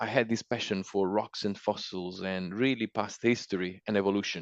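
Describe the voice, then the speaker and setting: The man's voice sits fairly low and moves at a moderate pace with ordinary pitch variation. The sound is dry and close with no echo, over a quiet background. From Italy. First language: Italian. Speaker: micropaleontologist and mudlark. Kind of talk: interview.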